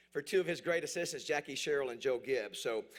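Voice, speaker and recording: Talking very fast, a man speaks at a fairly high pitch with ordinary pitch variation. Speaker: awards ceremony emcee. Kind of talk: ceremony speech. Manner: up-tempo.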